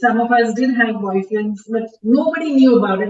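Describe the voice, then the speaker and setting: Her fairly high pitch and ordinary pitch variation mark a woman's ordinary speaking voice, delivered at a moderate pace. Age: 50s. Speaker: communication specialist and educator. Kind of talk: casual podcast chat.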